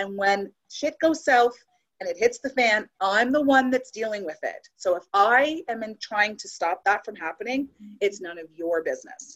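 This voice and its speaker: A woman talks at a moderate pace with an ordinary speaking voice. Her pitch is fairly high, and her intonation is lively. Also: big swings in loudness. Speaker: adoptive mother and FASD advocate. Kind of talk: casual chat.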